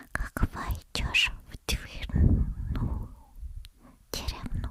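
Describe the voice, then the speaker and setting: Whispered female speech with noticeable background noise behind it. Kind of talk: ASMR fairy tale reading. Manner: soft-spoken, slow.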